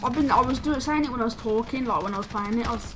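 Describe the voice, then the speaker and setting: A woman speaks with a British accent. Audible room echo and noticeable background noise are present. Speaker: gaming YouTuber. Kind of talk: casual chat. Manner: halting.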